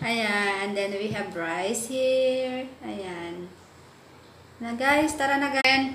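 Over light background noise and audible room echo, a woman talks at a very slow pace. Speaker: vlogger. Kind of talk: casual vlog chat. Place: home room. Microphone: phone near.

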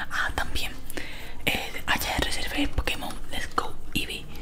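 The voice whispers at a very slow pace. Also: woman. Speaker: gaming YouTuber. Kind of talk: ASMR let's play commentary. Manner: whispered. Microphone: studio mic.

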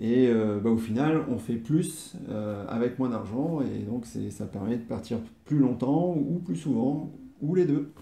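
With a dark, mellow tone and a somewhat breathy sound, a man speaks very slowly and with lively intonation over audible room echo. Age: 40s. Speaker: interviewee, host's partner. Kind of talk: casual interview. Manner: hesitant, many fillers and repetitions. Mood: calm, content. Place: home room. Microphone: camera far.

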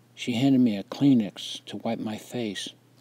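Natural-sounding reading

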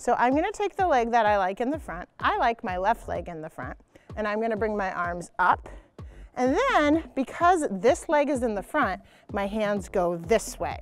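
A woman speaks at a moderate pace. Faint music plays in the background. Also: dry sound with no echo. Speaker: gymnastics coach. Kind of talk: tutorial. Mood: playful, encouraging. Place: street. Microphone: lapel.

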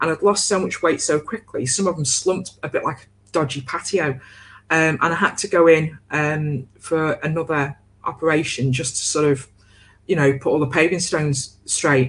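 A woman with a very deep, low voice and ordinary pitch variation, somewhat breathy. She talks at a moderate pace, her loudness swinging widely. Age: 40s. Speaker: co-host of a coaching livestream. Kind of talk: casual chat. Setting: livestream. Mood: candid, wry, reflective. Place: home room. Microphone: video call.

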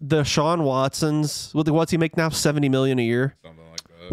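In a dry recording with no echo and a quiet background, a man speaks very fast at a fairly high pitch. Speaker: comedy podcast co-host. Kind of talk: casual comedic chat. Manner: joking, laid-back. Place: studio. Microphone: studio mic.

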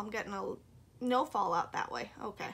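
A woman is speaking. Her tone is upbeat. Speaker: beauty vlogger. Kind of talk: makeup tutorial. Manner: chatty, upbeat.

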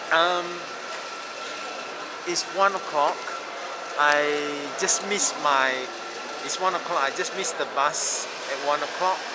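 A man speaks over loud background noise. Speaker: travel vlogger. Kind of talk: casual vlog chat. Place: station. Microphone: phone near.

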